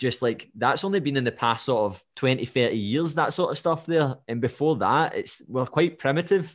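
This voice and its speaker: Lively intonation marks this moderate-paced speech in a Scottish accent over a quiet background. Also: man. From Scotland. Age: 20s. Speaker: podcast host and fitness coach. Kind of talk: casual interview.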